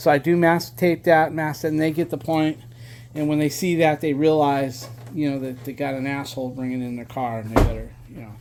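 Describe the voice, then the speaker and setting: Speaking at a fairly quick pace, a man with an unremarkable speaking voice uses a fairly high pitch and fairly even intonation, with big swings in loudness. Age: 60s. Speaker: car owner and home repair video maker. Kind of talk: casual tutorial. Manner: casual, with fillers and swearing.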